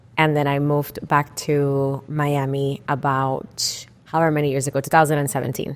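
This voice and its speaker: A woman's very deep, low voice in a Spanish accent, at a moderate pace with monotone, flat intonation. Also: hardly any pauses. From Puerto Rico. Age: 30s. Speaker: real estate agent. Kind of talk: casual interview.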